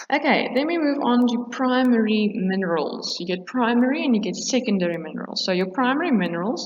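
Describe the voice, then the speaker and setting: A woman talks with a South African accent at a moderate pace. Her pitch varies in an ordinary way. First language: Afrikaans. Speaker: teacher. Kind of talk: lecture. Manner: hesitant, many fillers.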